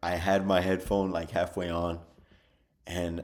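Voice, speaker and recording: His pitch sits very deep and low. The man keeps a moderate pace. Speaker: storyteller youtuber. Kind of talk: story time.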